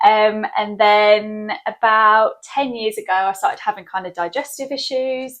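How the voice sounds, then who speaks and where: A woman with a southern English accent talks at a fairly slow pace with a fairly high pitch. She barely pauses, and the background is quiet. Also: fairly even intonation. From southern England. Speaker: skincare clinic owner. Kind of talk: interview. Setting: in her clinic.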